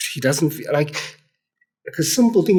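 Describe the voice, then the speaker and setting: The man's tone is dark and mellow, with somewhat breathy delivery. His pitch moves in a lively way. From South Africa. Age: 30s. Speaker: addictions specialist. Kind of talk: casual chat. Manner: halting.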